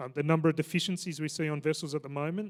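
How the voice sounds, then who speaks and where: A man with an Australian accent talks at a very fast pace and a fairly high pitch, with ordinary pitch variation. The recording is very clean with a silent background. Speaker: maritime safety regulator. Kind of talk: conference panel talk.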